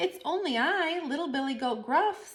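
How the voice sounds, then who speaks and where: A woman uses a put-on character voice with a high pitch. She speaks at a moderate pace. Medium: read story. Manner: chatty, self-satisfied.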